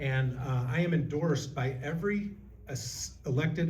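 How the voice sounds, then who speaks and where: With an American accent, a man speaks in a dark, mellow, somewhat breathy tone with ordinary pitch variation, and room echo is audible. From Illinois. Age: 60s. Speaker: political candidate. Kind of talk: candidate forum speech.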